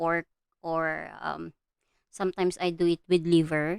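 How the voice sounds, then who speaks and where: A woman with a Filipino accent, fairly low in pitch, monotone and flat, at a fairly slow pace, in a dry, close sound with no echo. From Philippines. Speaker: art livestreamer. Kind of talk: livestream chat while coloring. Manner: halting, many fillers.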